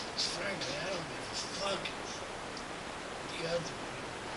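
Over loud background noise, a man talks at a very slow pace. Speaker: vlogger. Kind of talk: video response to camera. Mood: earnest, blunt, swearing. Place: workshop. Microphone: webcam.

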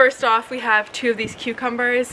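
Noticeable background noise is audible. The speaking pace is very fast. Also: woman. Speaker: vlogger. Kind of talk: casual vlog chat. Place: garden.

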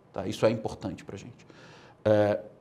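Somewhat breathy, the voice rushes along at a very fast pace. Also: man. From Brazil. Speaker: political movement leader; interview guest. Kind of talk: interview. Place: studio. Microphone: lapel.

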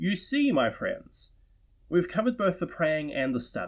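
Recorded very cleanly against a silent background, a man speaks with a New Zealand accent and very wide pitch swings. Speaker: tabletop role-playing lore lecturer. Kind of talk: lecture to camera.

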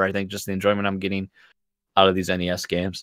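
A man is heard in a dry sound with no echo over a quiet background. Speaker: podcast host. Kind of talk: casual chat. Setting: live stream. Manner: energetic. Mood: enthusiastic about games. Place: home room.

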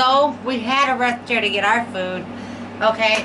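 A woman speaks at a fairly slow pace, with noticeable background noise present. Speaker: mukbang vlogger. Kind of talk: casual vlog chat. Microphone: camera far.

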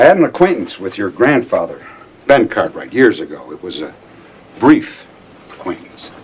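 A man's put-on character voice, low in pitch with big pitch swings and a husky, rough edge. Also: moderate pace.

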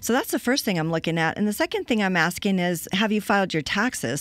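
A woman talks at a fairly quick pace with lively intonation, in a dry sound with no echo. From Colorado. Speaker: cash flow consultant; guest. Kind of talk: interview. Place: studio. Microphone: studio mic.

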